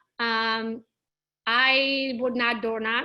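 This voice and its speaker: In a very clean recording with a silent background, a woman speaks at a fairly high pitch with a bright, sharp tone. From Transylvania, Romania (Hungarian minority). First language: Hungarian. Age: 30s. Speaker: real estate agent. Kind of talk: interview. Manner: casual, lively.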